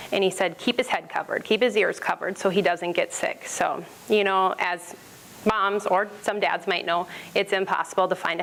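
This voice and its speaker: Fairly even intonation marks this speech, which keeps a moderate pace. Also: woman. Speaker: small business owner presenting. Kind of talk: business pitch presentation. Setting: stage with audience, microphone. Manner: loud.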